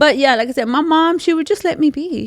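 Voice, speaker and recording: The delivery is fairly quick, with vocal fry. The sound is dry and close, with no echo. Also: woman. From rural Mexico until age eight, then US. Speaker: podcast guest. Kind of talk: casual chat. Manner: animated.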